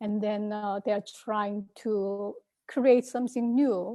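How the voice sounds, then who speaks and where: Very slowly and with fairly even intonation, a woman in a Korean accent speaks at a fairly high pitch in a dark, mellow tone, captured in a very clean recording with a silent background. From South Korea. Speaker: composer and komungo performer. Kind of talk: conference presentation. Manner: halting, many fillers.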